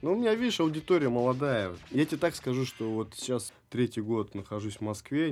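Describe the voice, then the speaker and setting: Over a silent background in a very clean recording, a man speaks at a fairly quick pace. His medium pitch carries lively intonation. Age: 30s. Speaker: dance studio founder and breakdancer. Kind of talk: casual interview chat. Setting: studio. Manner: animated.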